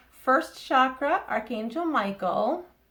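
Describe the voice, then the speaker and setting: Speaking at a very slow pace with an American accent, a woman has a high pitch and a bright, sharp tone. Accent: Boston accent, slips out at times. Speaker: psychic tarot reader. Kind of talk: oracle card reading to camera. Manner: casual, hesitant with fillers.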